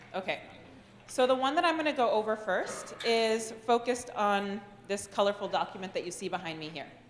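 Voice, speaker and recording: A woman speaks at a medium pitch with lively intonation and big swings in loudness. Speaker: government program administrator. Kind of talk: meeting presentation. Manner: fast.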